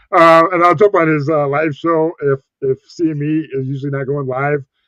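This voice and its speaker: A man's unremarkable speaking voice at a moderate pace, fairly even in intonation, with a dry, close sound and no echo. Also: fairly high pitch for a man. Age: 40s. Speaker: live stream host, cruise and casino vlogger. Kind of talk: casual live stream chat. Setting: live stream with guest on panel.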